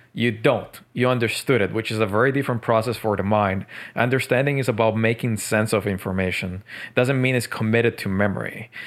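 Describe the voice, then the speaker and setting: A man with a Spanish accent talks at a fairly quick pace with fairly even intonation, in a very clean recording with a silent background. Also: medium pitch for a man. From Colombia, Medellin. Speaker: author. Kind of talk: podcast interview.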